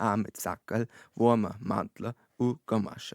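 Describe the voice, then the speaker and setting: A man with a North Bavarian accent speaks at a very slow pace. The recording is very clean, with a silent background. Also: dry, close sound with no echo. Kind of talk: humorous verse reading in dialect. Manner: steady rhythmic pace.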